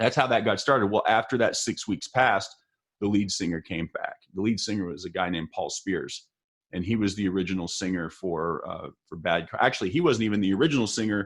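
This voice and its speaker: Speaking fairly quickly with an American accent, a man uses a fairly low pitch with ordinary pitch variation. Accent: Texas accent, noticed by others outside Texas. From El Paso, Texas. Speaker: musician and livestream interview host. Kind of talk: casual interview chat. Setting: livestream.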